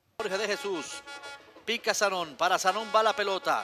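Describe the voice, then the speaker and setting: In a very clean recording with a silent background and a dry, close sound with no echo, a man uses a raised, projected voice that is high-pitched, bright and sharp-toned, at a moderate pace. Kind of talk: live sports commentary.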